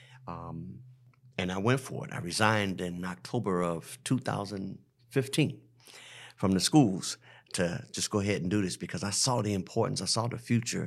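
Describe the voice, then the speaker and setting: Vocal fry runs through a man's fairly low-pitched voice at a moderate pace. His intonation is lively, and the recording is very clean with a silent background. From US Midwest, west side of Chicago. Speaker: radio station owner and host. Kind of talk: podcast interview.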